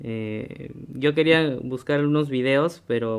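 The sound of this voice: A man talks with a clear, smooth tone and little pitch movement. Vocal fry shows up in his voice.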